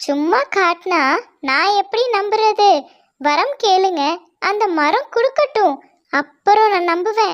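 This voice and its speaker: A woman's cartoonish character voice at an extremely high pitch, very slow, with lively intonation and very even loudness. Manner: teasing, skeptical.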